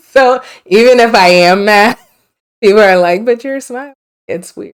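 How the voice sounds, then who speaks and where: A woman with a Liberian accent speaks in a fairly high pitch with lively intonation. Her pace is moderate, and her loudness swings widely. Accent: Liberian, sing-songy, sounds almost Caribbean. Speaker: lawyer. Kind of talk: podcast interview. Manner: smiles when talking.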